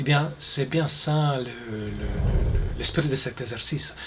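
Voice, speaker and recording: A man speaks in a strong Italian accent with ordinary pitch variation. Noticeable background noise is present. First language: Italian (speaking French). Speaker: mindfulness instructor. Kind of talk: guided mindfulness exercise. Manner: halting, many repetitions and fillers.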